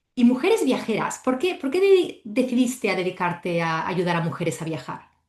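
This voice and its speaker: Against a quiet background, a woman's fairly high, somewhat breathy voice moves through very wide pitch swings. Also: moderate pace. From Spain. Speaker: podcast host and travel coach instructor. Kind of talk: podcast interview.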